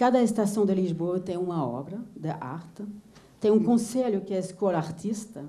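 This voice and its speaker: A woman with a non-native accent, ordinary pitch variation and a fairly slow pace, with audible room echo. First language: not Portuguese (speaking Portuguese). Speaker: visual artist. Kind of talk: lecture. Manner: halting.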